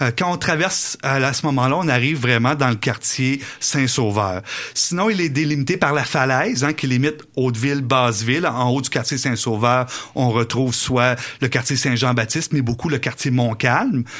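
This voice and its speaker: This man has a plain, everyday voice, a medium pitch and very even loudness. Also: ordinary pitch variation, moderate pace. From Quebec City area (Beauport). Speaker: historian. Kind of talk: radio interview.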